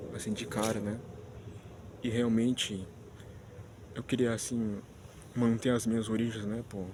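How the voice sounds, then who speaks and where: The man speaks at a medium pitch and a moderate pace. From Spanish-speaking country, not Brazil. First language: Spanish (speaking Portuguese). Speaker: vlogger. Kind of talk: casual vlog monologue. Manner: halting, many restarts and fillers.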